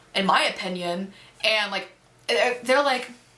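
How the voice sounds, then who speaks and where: A woman speaks at a moderate pace with a medium pitch and ordinary pitch variation. The room echo is audible, and background noise is noticeable. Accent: American. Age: young. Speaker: YouTuber. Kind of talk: casual Q&A chat. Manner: casual, filler-heavy.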